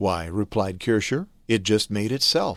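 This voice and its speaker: On a very clean recording with a silent background, the speaking pace is moderate. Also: man. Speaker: voice actor. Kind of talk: religious instruction narration.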